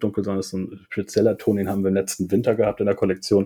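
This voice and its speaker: A man delivers his words at a very fast pace in a dark, mellow tone, with a fairly low pitch and monotone, flat intonation. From northern Germany, south of Hamburg. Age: 40s. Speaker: clothing shop owner. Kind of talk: casual chat.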